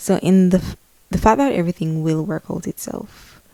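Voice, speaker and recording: The speaker is a woman. She has a Spanish accent. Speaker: lifestyle vlogger. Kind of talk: casual vlog monologue. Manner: halting, repeats words.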